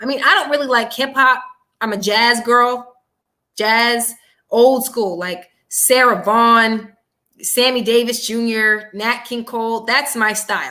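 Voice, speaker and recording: A woman's high-pitched, raised and projected voice, bright and sharp in tone, at a fairly slow pace. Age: 20s. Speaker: political commentator. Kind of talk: casual chat. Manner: animated.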